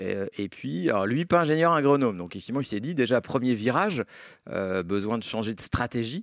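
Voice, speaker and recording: A medium-pitched man with lively intonation at a moderate pace, on a very clean recording with a silent background. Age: 40s. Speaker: real estate company director. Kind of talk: interview. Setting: office. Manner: hesitant, many fillers.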